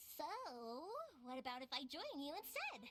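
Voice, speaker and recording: A woman performs a put-on character voice at a high pitch. Clear background noise can be heard. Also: moderate pace. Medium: video game. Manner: folksy, laughing.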